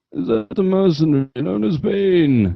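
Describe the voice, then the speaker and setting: Putting on a strained character voice, a man speaks at a moderate pace and fairly high pitch with very wide pitch swings. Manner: put-on, comedic.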